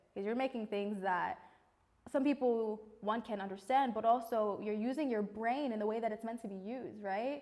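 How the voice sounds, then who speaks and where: Against a quiet background, a woman speaks with a New York accent. Her pitch is fairly high and her tone dark and mellow. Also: ordinary pitch variation, moderate pace. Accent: New York American. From New York City. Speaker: multi-creative artist; interviewee. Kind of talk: interview testimony. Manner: loud. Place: studio. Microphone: lapel.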